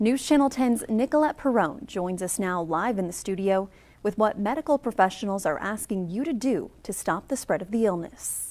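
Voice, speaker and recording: This woman has an unremarkable speaking voice with an American accent, medium pitch and lively intonation. She talks at a moderate pace on a very clean recording with a silent background. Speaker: evening news anchor and reporter. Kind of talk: TV news anchor delivery.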